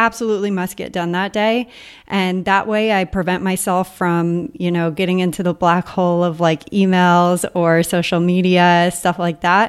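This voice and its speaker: A woman speaks with an American accent at a medium pitch. Her pace is moderate and her intonation fairly even. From mainland US. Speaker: podcaster and online entrepreneur. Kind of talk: interview conversation. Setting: remote call.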